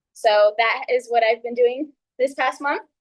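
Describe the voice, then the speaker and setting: The woman's high-pitched voice comes through dry and close, with no echo. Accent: American. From Texas, San Antonio and Kerrville. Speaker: real estate agent, new club member. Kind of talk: prepared speech. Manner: uses filler words.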